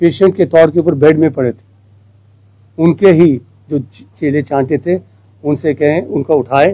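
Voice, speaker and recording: Long, frequent pauses break up a man's fairly high voice. His tone is dark and mellow, with ordinary pitch variation. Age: 80s+. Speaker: politician. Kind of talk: political press statement. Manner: animated.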